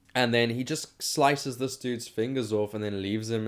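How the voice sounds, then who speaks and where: This man speaks with a non-native accent at a fairly quick pace and a medium pitch. The recording is very clean, with a silent background. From South Africa. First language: not English. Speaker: podcast host, film reviewer. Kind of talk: casual solo movie review podcast. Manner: casual, halting with fillers.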